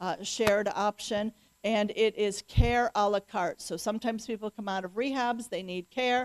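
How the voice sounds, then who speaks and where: A woman's fairly high voice with an American accent, very cleanly recorded against a silent background, dry and close with no echo. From US Midwest. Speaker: senior living advisor. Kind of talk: presentation to audience. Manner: fast.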